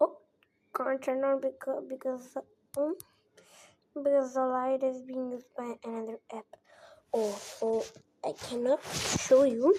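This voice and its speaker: A woman with a non-native accent and a high pitch talks at a fairly slow pace, leaving long, frequent pauses, her intonation fairly even and her loudness swinging widely. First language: not English. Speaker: phone tutorial creator. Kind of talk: tutorial. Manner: halting, many repetitions and fillers.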